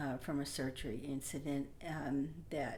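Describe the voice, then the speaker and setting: The voice is a woman's, at a fairly slow pace. There is audible room echo. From Oklahoma, US. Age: 60s. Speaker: community advisory committee member. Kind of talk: personal testimony. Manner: halting, many fillers.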